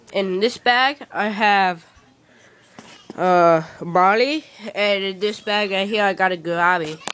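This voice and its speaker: A woman speaks at a very slow pace with a medium pitch. Her words are broken by long, frequent pauses. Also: ordinary pitch variation. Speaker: hobbyist vlogger. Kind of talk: casual vlog. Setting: at home.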